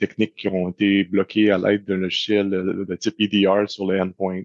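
A man's fairly low-pitched, flat monotone in a Quebec accent at a moderate pace, quiet background behind him. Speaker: cybersecurity expert. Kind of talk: interview. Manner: halting.

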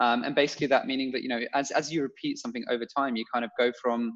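A man talks at a very fast pace in a London accent. The background is quiet. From London, England (Bulgarian family). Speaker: podcast co-host, entrepreneur. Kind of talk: casual chat. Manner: halting.

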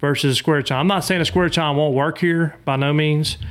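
A man with a Louisiana accent talks at a fairly quick pace, his intonation fairly even. The recording is very clean, with a silent background. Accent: Southern US (Louisiana). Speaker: boat motor salesman and duck hunter. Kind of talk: casual chat.

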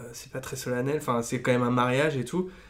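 A man speaks at a medium pitch with fairly even intonation. He has a normal speaking voice. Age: 30s. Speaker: advertising creative. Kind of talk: casual interview.

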